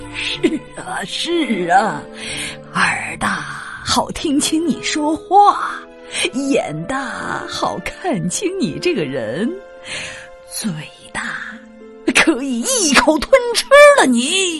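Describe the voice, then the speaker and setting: A put-on character voice comes at a high pitch and a very slow pace. Clear music plays in the background. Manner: sly, sinister.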